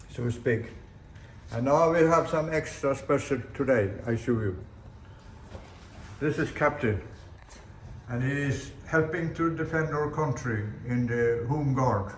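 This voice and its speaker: With a Swedish accent, a man with a fairly high voice talks at a fairly slow pace, using ordinary pitch variation and long, frequent pauses, in a room with audible echo. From Sweden. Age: 80s+. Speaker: sailor and boat builder. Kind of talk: casual video blog. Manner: halting.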